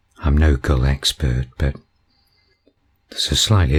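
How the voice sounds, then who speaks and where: Very deep and low, a man's voice comes across in a calm, relaxed tone. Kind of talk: nature video commentary.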